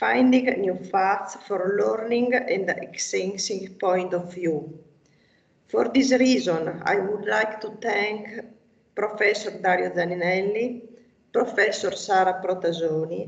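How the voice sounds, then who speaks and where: Very slow speech in an Italian accent with ordinary pitch variation and audible room echo. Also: woman, medium pitch for a woman. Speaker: local politician. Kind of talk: prepared speech. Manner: formal.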